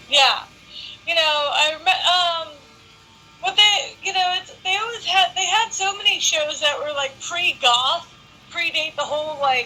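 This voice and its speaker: A woman's extremely high, raised and projected voice with lively intonation, a fairly slow pace and long, frequent pauses over background music. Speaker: interviewer. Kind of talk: casual chat.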